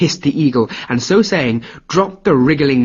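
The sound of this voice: An unforced reading voice carries lively intonation.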